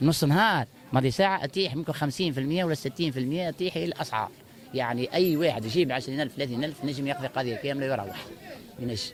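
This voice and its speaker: A man speaks at a very fast pace, his pitch fairly high and his pitch variation ordinary. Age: 60s. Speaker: market shopper interviewed. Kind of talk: street interview.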